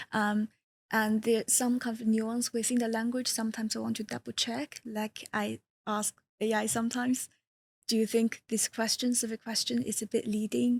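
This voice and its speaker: A woman's somewhat breathy, fairly high voice with a non-native accent, monotone and flat in intonation, at a moderate pace, in a dry, close sound with no echo. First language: not English. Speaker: user researcher. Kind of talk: casual interview chat.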